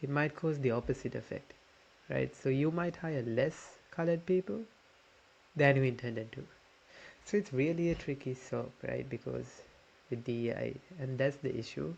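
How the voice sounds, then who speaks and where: A man with a fairly high, somewhat breathy voice speaks at a moderate pace with ordinary pitch variation and long, frequent pauses. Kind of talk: casual commentary reacting to videos.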